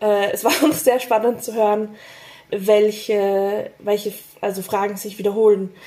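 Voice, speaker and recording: This woman speaks at a fairly slow pace, her fairly high pitch carrying a dark, mellow tone and fairly even intonation. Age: 20s. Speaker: podcast host and actress. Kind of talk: casual interview conversation.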